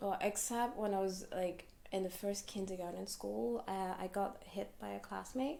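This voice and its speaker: A woman of medium pitch talks at a moderate pace with lively intonation. Noticeable background noise is present. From Hong Kong. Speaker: fortune teller. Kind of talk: interview. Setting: podcast. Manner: casual.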